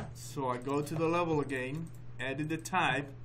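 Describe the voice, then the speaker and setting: A man's fairly slow, fairly even-toned voice, with audible room echo and music in the background. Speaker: software instructor. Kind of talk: tutorial.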